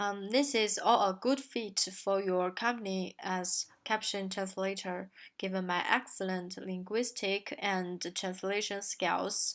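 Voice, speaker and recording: A woman talks at a very slow pace with hardly any pauses, in a medium-pitched voice with fairly even intonation. The recording is very clean, with a silent background. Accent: Chinese. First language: Chinese. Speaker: translation student. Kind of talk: recorded self-presentation. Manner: halting, many fillers.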